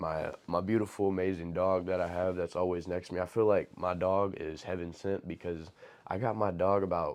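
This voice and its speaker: A man with an American accent and a very deep, low pitch, at a moderate pace against a quiet background. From Dallas, Texas. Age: 20s. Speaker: fashion model and social media creator. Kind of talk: casual talk to camera.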